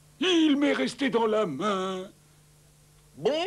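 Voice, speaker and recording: In a cartoonish character voice, a man speaks very slowly at a high pitch with very wide pitch swings. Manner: easygoing, cheerful.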